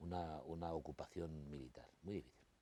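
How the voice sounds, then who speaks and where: Very deep and low, this man's voice has a dark, mellow tone. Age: 60s. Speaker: interview guest. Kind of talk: TV interview. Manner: halting, with many repetitions.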